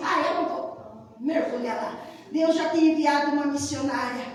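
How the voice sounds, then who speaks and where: A woman speaks in an animated tone at a high pitch, with noticeable background noise and audible room echo. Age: 60s. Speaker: pastor. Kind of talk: sermon. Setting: church.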